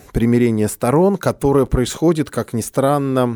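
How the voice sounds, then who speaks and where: In a very clean recording with a silent background and a dry, close sound free of echo, a man speaks with a dark, mellow tone and lively intonation. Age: 40s. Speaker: film curator. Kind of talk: conversational film discussion. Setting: studio.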